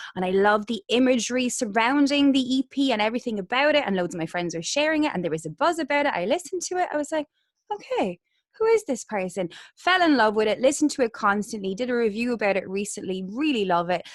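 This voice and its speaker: In a Waterford accent, a woman talks at a very fast pace, her fairly high pitch swinging very widely. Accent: Irish, Waterford. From Ireland, Waterford. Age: 30s. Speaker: interviewer, podcast host. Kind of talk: casual interview chat.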